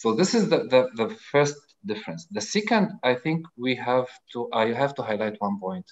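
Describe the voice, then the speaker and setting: With an Arabic accent, a man talks at a moderate pace in a medium pitch, making very wide pitch swings. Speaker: audience participant. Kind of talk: casual chat. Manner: halting.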